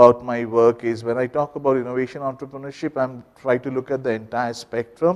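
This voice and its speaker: With fairly even intonation, the speech moves at a fairly quick pace against a quiet background. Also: man. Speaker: business school researcher. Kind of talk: research seminar presentation. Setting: seminar room with microphone and audience. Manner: loud. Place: classroom.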